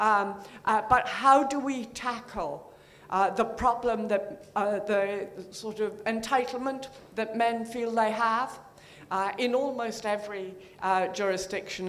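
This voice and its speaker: Speaking very slowly in a room with audible echo, a woman uses a fairly high pitch and fairly even intonation. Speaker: audience member asking question. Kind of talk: conference Q&A. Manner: halting, many fillers.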